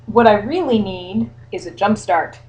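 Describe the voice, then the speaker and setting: Using a put-on character voice, a woman speaks at a moderate pace and medium pitch with lively intonation. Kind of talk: bedtime story. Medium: read story. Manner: polite, calm.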